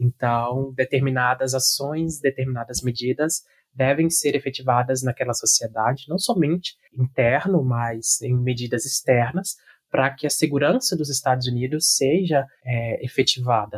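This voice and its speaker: Somewhat breathy and at a medium pitch, a man speaks at a moderate pace with fairly even intonation in a dry, close sound with no echo. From Brazil. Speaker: university student. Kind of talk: casual chat. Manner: formal.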